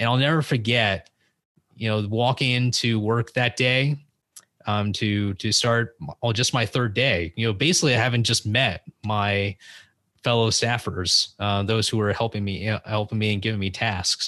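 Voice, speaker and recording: In an American accent, a man talks at a moderate pace and medium pitch, his tone bright and sharp, loudness very even, pitch variation ordinary, background quiet. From US West Coast, San Francisco Bay Area. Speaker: podcast host and former congressional intern. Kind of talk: interview.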